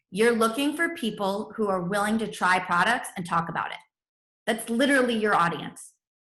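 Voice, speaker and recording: With lively intonation and audible room echo, a woman talks at a fairly high pitch. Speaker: network marketing team leader. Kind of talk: training webinar. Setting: video call with screen share. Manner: fast; animated.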